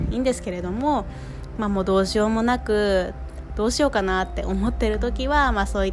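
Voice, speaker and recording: Noticeable noise and audible room echo accompany a woman's voice. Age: 20s. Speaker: nursery teacher and podcast host. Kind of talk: solo podcast talk. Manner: hesitant, many fillers.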